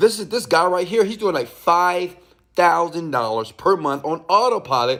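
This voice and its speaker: This man has a high voice and an animated tone. His intonation is lively, and the recording is very clean with a silent background. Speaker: online business coach. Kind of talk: tutorial. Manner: fast.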